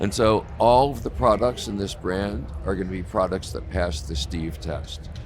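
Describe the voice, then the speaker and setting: This man's voice sits very deep and low, and his intonation is lively. He keeps a moderate pace with hardly any pauses. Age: 60s. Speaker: cannabis activist. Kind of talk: casual interview. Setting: live at a trade show booth. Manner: hesitant, many fillers.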